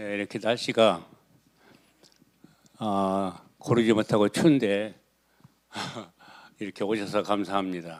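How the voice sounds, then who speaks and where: A very slow delivery with long, frequent pauses and fairly even intonation. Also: man, fairly low pitch for a man. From South Korea, Boryeong, South Chungcheong. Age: 80s+. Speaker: retired cooperative head and former city councillor. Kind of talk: life story testimony.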